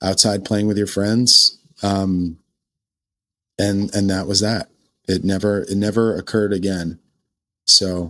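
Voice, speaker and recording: On a very clean recording with a silent background, a fairly low-pitched man speaks with a bright, sharp tone and monotone, flat intonation at a fairly slow pace, leaving long, frequent pauses. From New England. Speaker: podcast guest storyteller. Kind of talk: casual storytelling interview. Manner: halting.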